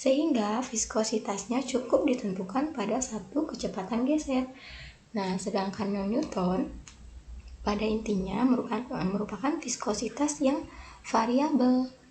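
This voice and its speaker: A woman speaks over noticeable background noise. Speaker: pharmacy student. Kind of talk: educational presentation.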